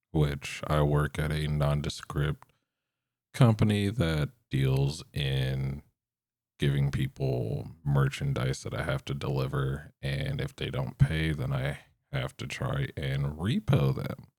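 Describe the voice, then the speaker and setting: A man with a very deep, low pitch talks at a very slow pace, his voice showing vocal fry. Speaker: podcast host. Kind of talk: casual solo podcast monologue. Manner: monotone; halting, stumbles over words.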